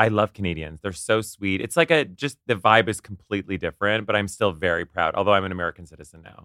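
A man talks very fast with hardly any pauses, his pitch fairly low, his pitch variation ordinary, his tone bright and sharp, and his loudness swinging widely. The recording is very clean and dry, close-up with no echo and a silent background. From Canada, Ottawa. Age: 30s. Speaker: publicist and celebrity friend. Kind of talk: casual chat.

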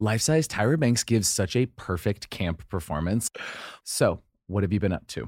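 In a very clean recording with a silent background, a man with a fairly low pitch speaks at a moderate pace with lively intonation. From Idaho. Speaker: podcast co-host. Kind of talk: casual chat. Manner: animated.

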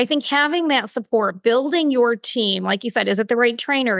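Against a quiet background, a woman with a fairly high pitch speaks at a fairly quick pace with ordinary pitch variation, in a dry, close sound with no echo. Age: 50s. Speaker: health and wellness coach, entrepreneur. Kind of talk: casual interview chat.

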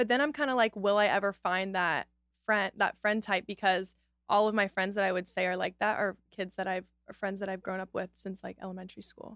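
In a very clean recording with a silent background and a dry, close sound with no echo, a woman has an unremarkable speaking voice, medium in pitch, fairly quick and fairly even in intonation. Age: 20s. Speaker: lifestyle influencer. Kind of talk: casual chat.

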